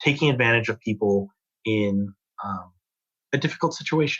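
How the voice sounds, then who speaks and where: A man's medium-pitched voice with lively intonation and a dry, close sound with no echo. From United States. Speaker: fraud analytics manager. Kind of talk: podcast interview.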